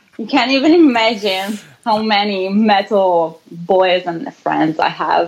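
With an Italian accent, a woman speaks at a very slow pace and medium pitch, showing ordinary pitch variation. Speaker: rock band singer. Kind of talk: casual chat. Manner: halting.

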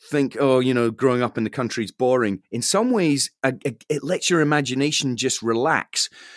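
With a Scottish accent, a man speaks at medium pitch and a moderate pace, dry and close with no echo, on a very clean recording with a silent background. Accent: Scottish (Fife). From Scotland, Fife. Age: 40s. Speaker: radio broadcaster and musician. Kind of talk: interview, casual chat.

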